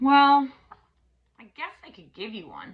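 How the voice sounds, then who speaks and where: High pitch and a fairly slow pace in a woman's put-on character voice. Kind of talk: bedtime story. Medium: read story. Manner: gruff, shouting.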